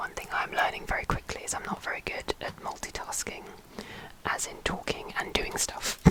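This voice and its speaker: Against noticeable background noise, a woman whispers at a moderate pace. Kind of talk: ASMR whispered talk to camera. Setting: budget home mic setup. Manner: whispered, soft-spoken.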